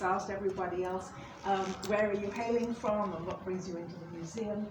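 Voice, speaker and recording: Over noticeable background noise and audible room echo, a woman talks very fast at a medium pitch in a monotone, flat intonation. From England. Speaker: museum tour guide. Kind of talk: guided tour talk. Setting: museum, in front of a visitor group. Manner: halting, with many fillers and repetitions.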